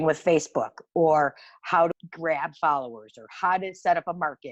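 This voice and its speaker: A woman with an American accent has an unremarkable speaking voice, fairly low in pitch. She talks at a moderate pace against a quiet background. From Ohio, Cleveland. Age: 60s. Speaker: small business owner. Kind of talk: interview.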